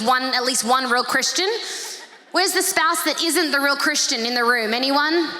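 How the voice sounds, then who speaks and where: A woman with an Australian accent uses a raised, projected voice at a fairly quick pace with lively intonation. Audible room echo and noticeable background noise surround her. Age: 30s. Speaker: pastor. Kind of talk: sermon. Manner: fast; animated.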